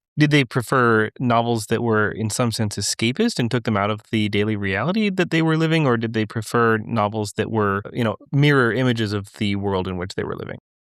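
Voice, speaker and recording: With hardly any pauses, a man with an unremarkable speaking voice talks at a fairly quick pace and medium pitch, showing ordinary pitch variation on a dry, close sound with no echo. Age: 30s. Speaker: podcast host. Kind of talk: podcast interview.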